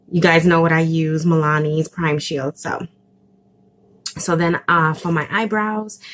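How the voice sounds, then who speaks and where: Over music in the background, a woman talks in a flat monotone. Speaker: beauty vlogger. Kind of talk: tutorial. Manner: casual, halting.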